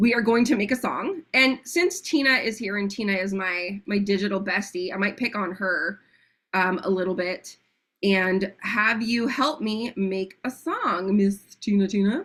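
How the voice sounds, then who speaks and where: An animated woman of medium pitch speaks in an American accent with ordinary pitch variation. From United States. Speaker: AI workshop host. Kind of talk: tutorial on a group call. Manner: fast.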